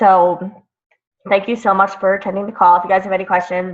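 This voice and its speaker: A woman's raspy, put-on character voice at a medium pitch, fairly quick, with monotone, flat intonation. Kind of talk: wrapping up a business call.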